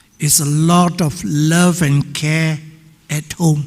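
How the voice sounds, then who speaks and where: Here a man speaks at a fairly high pitch. His intonation is fairly even. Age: 80s+. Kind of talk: audience remarks at panel discussion. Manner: halting.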